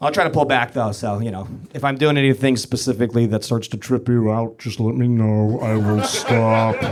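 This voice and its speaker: Amid noticeable background noise, a man speaks at a fairly quick pace in a medium pitch, with hardly any pauses and fairly even intonation. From New Brunswick, Canada. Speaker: comedian. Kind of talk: stand-up. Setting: stage with audience. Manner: fast.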